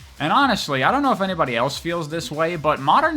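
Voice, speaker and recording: Over music in the background, a man with a fairly high voice makes very wide pitch swings. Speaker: video game story retrospective creator. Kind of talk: casual commentary narration. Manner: casual, informal, profane.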